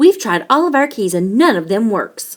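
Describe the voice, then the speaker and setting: Putting on a character voice, a woman growls at a fairly high pitch and a moderate pace, her pitch swinging very widely. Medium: read story.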